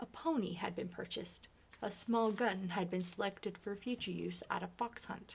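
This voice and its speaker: A soft-spoken woman talks at a moderate pace with a medium pitch. Her voice is somewhat breathy, with fairly even intonation. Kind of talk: ASMR book reading.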